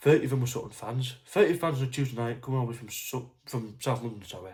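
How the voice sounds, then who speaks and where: This man talks at a very fast pace in a somewhat breathy voice. His pitch is medium, with ordinary variation. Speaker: football fan vlogger. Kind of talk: casual talk to camera. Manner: hesitant, stuttering.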